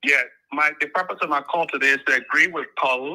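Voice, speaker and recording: A bright, sharp tone over a quiet background. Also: man. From Liberia. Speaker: caller. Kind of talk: phone-in call.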